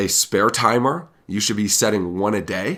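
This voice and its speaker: His voice is fairly low for a man. The pitch varies in an ordinary way. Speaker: sales trainer. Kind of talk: training talk with role-play examples. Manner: calm, conversational.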